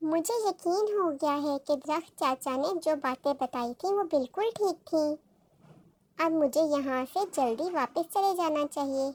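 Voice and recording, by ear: In a cartoonish character voice, a female-sounding voice speaks at a moderate pace in a high pitch.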